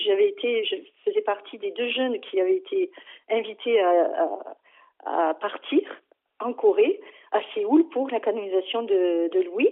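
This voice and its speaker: A woman's high voice, very slow, with very wide pitch swings. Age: 50s. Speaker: parish volunteer. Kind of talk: testimony. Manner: halting.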